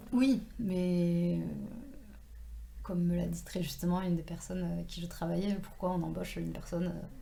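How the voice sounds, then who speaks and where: Pausing long and often, a woman speaks at a moderate pace with audible room echo. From southwestern France, Toulouse and Tarn. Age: 30s. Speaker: author. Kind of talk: casual interview. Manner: hesitant, many fillers.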